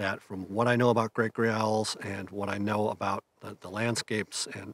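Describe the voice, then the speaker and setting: Using fairly even intonation, a man with a fairly low pitch talks at a moderate pace in a dry sound with no echo. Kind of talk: casual vlog chat. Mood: calm, reflective. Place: open country.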